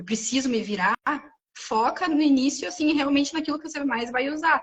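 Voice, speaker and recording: A woman is the speaker. The variation in her pitch is ordinary. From Brazil. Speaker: French teacher. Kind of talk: casual chat. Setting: livestream.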